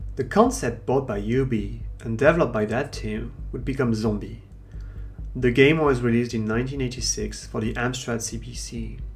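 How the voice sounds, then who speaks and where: A man speaks with a French accent at a moderate pace. Music plays in the background. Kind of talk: documentary narration.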